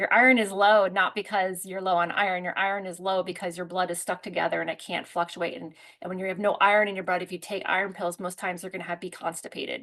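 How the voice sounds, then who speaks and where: Against a quiet background, a woman speaks at a very fast pace. She leaves hardly any pauses. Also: medium pitch for a woman. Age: 40s. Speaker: herbalist and product presenter. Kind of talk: product presentation with live Q&A. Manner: animated.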